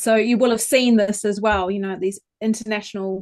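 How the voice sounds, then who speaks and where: A woman's fairly high-pitched voice at a moderate pace, with a New Zealand accent. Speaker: vocal coach. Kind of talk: interview.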